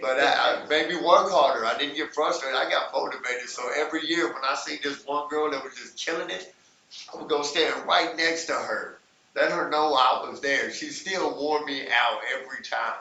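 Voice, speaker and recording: With an Arkansas accent, a man talks at a moderate pace in a fairly high pitch, his pitch varying in an ordinary way and his loudness swinging widely, over noticeable background noise and audible room echo. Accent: Southern US (Arkansas). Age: 40s. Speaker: hip hop dance instructor. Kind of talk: casual chat.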